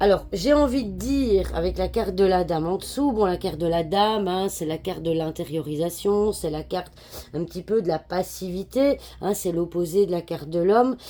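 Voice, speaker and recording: The voice moves at a moderate pace with ordinary pitch variation over noticeable background noise. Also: woman, fairly low pitch for a woman. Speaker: card reader / fortune teller. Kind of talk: daily card reading. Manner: hesitant, many filler sounds.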